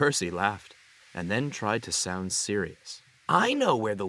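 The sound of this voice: An unforced reading voice is heard here, its intonation lively.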